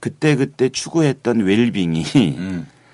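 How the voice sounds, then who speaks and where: Speaking very slowly, a man with a medium-pitched voice makes very wide pitch swings. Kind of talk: radio talk show interview.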